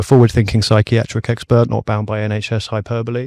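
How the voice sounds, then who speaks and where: A man in a British accent, fairly low-pitched and monotone with flat intonation, at a fairly quick pace on a very clean recording with a silent background. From UK (childhood in Middle East). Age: 20s. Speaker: startup co-founder. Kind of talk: podcast interview. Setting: mobile podcast studio.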